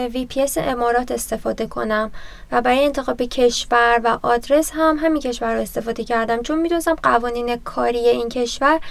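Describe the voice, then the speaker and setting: A woman talks at a fairly quick pace in a high voice. Her intonation stays fairly even. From Iran, Tabriz. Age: 30s. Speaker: freelance graphic designer. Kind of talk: personal story interview.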